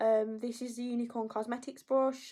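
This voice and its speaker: With an English accent, a woman with a fairly high pitch and a dark, mellow tone speaks in a flat, monotone way. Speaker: makeup artist. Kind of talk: tutorial. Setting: live video stream. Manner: a little quiet while concentrating.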